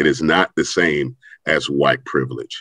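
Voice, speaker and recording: A man with an American accent and vocal fry, at a moderate pace, in a dry, close sound with no echo. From US Midwest, St. Louis. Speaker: educator and nonprofit leader. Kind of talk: panel discussion.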